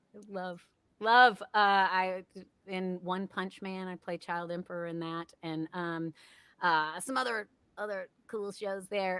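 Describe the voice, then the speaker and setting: Speaking at a very slow pace, a woman has a bright, sharp tone at a medium pitch. The sound is dry and close with no echo, on a very clean recording with a silent background. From Tennessee. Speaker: voice actor. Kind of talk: workshop talk. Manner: casual, upbeat.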